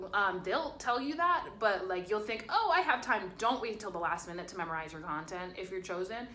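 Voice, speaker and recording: With audible room echo and noticeable background noise, a woman talks at a fairly quick pace with lively intonation, big swings in loudness, and hardly any pauses. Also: medium pitch for a woman. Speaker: college student vlogger. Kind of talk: casual vlog advice. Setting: hotel room.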